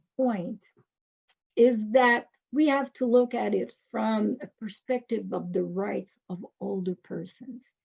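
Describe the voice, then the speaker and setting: A woman speaks with a Quebec accent. Her pace is fairly slow. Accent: Québécois French accent in English. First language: French. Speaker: professor. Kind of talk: lecture.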